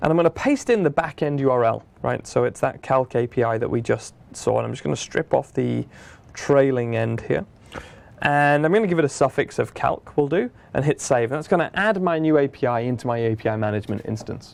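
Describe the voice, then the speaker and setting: A man with a British accent, medium pitch, lively intonation and a fairly quick pace. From Britain. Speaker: software product manager. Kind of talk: tutorial. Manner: casual, conversational.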